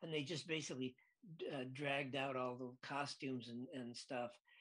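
This voice has a bright, sharp tone, fairly even intonation and an American accent. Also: man. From US Midwest, Lansing, Michigan. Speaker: film director. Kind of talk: interview.

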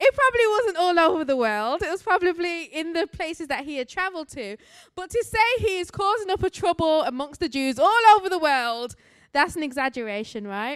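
Speaking fairly quickly with an English accent, a woman's extremely high voice swings very widely in pitch on a very clean recording with a silent background. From England, Birmingham. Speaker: missionary and guest preacher. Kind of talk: sermon. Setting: church.

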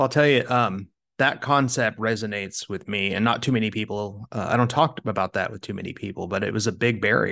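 A man's bright, sharp voice at medium pitch with ordinary pitch variation, fairly quick and with hardly any pauses, over a quiet background. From Kansas, US Midwest. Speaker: fund manager, investment officer. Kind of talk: interview.

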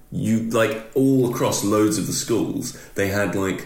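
Against noticeable background noise, a man with a British accent talks with ordinary pitch variation. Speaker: podcast co-host. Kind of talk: casual chat.

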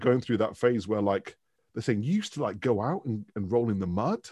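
In a Mancunian accent, a man speaks at a medium pitch with ordinary variation over a quiet background. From Manchester, northern England. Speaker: professor of branding and culture. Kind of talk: casual interview chat. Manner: animated.

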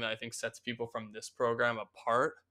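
A man with an American accent speaks at a medium pitch and a moderate pace. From Philadelphia, US. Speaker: music marketing manager. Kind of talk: interview.

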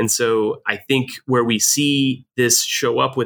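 A man with an American accent talks at a medium pitch in a bright, sharp tone. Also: dry, close sound with no echo. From New Jersey, Jersey Shore. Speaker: leadership educator and retired army officer. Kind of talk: interview.

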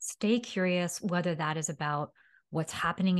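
Speaking in a normal speaking voice with an American accent, a woman talks at a fairly low pitch and a fairly quick pace with ordinary pitch variation against a quiet background. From New York City. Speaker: dietitian focused on sustainability. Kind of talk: interview conversation.

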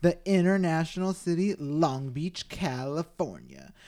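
His intonation is lively and his pitch fairly high. The man is heard on a very clean recording with a silent background. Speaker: podcast host. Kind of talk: casual chat. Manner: animated.

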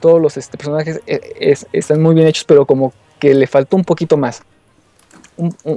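This man has a fairly high pitch and fairly even intonation, moving at a moderate pace. The sound is dry and close, with no echo. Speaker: game reviewer. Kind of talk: game review. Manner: halting, many fillers. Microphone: too far from the mic.

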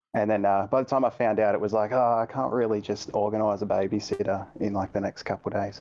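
A man with an Australian accent at a very fast pace, fairly low in pitch, with fairly even intonation and hardly any pauses. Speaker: gaming community moderator. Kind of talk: casual chat.

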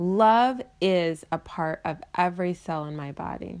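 A woman speaks at a fairly low pitch in a soothing, calm tone with lively intonation. The recording is very clean, with a silent background. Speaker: meditation guide and life coach. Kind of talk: guided meditation. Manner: slow, soothing, calm, gentle and paced; warm, encouraging, counting breaths slowly.

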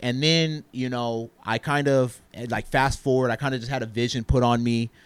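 A man speaks at a fairly slow pace in an ordinary speaking voice. His pitch is medium, and his intonation is fairly even. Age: 30s. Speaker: entrepreneur, printing business owner. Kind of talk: casual interview.

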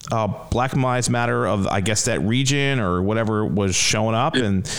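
A medium-pitched man with an American accent, animated tone and lively intonation, at a moderate pace over noticeable background noise. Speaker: comedian podcast host, adult son. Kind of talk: casual chat with parents. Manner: animated, joking.

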